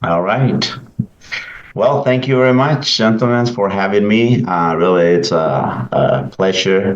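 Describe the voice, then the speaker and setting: A man with a Salvadoran accent speaks fairly low and fairly slowly, with lively intonation and very even loudness. Audible room echo and noticeable background noise are present. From El Salvador. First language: Spanish. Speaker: pastor. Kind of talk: interview. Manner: halting, many fillers.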